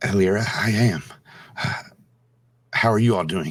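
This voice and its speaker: Putting on a raspy character voice, a man speaks at a fairly low pitch and a moderate pace. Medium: actual play.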